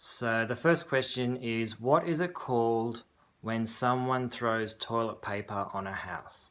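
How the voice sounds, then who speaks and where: This man has a Sydney accent. His tone is bright and sharp. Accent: typical Sydney Australian. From Australia, Sydney. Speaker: video blogger. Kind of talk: reading a word list; casual monologue, accent tag video. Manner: hesitant, many fillers and repeats.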